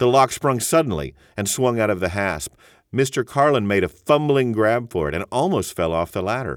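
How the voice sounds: Lively intonation colors a natural reading voice.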